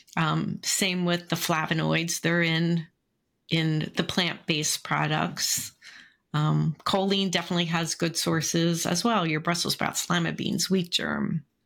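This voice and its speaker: Over a silent background in a very clean recording, a woman speaks in a fairly low pitch with vocal fry. Her intonation is monotone and flat, her pace fairly slow. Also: very even loudness. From Philadelphia, US. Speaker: dietitian. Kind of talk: interview.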